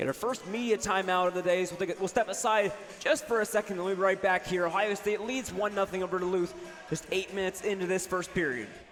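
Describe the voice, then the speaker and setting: Over noticeable background noise, a man with a high pitch talks at a very fast pace. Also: ordinary pitch variation. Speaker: student radio sports broadcaster. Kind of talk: live hockey play-by-play commentary.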